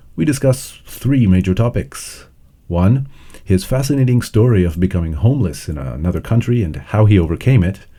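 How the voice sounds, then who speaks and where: Speaking at a fairly quick pace, a man with a fairly low pitch and a dark, mellow tone sounds somewhat breathy, his pitch swinging very widely. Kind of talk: podcast intro.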